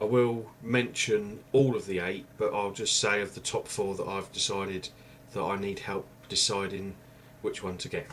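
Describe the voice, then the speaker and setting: The quiet voice, in an English accent, keeps a monotone, flat intonation. It moves at a moderate pace. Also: man, fairly low pitch for a man. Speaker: YouTuber. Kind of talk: vlog review. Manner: casual, hesitant. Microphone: webcam mic, far from mic.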